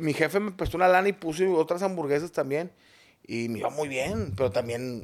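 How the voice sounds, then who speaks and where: Speaking with a plain, everyday voice, a man moves at a fairly quick pace with lively intonation. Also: fairly high pitch for a man. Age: 40s. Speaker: comedian. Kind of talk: casual chat.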